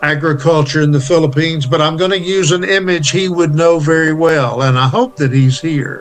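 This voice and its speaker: Over music in the background, a man speaks with a fairly high pitch and ordinary pitch variation. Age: 70s. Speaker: university chancellor. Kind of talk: inspirational address.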